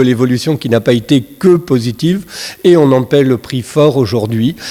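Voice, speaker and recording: A man speaks with a dark, mellow tone. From Brittany, southern Morbihan (France). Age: 60s. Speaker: senator, guest speaker. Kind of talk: conference talk. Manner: hesitant, many fillers and repetitions.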